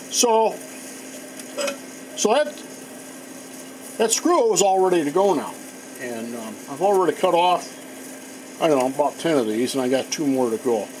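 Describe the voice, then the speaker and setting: A high-pitched man speaks at a fairly slow pace, leaving long, frequent pauses. His pitch swings very widely over noticeable background noise. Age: 60s. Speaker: woodworker / machinist. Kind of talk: tutorial. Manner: casual, halting with fillers.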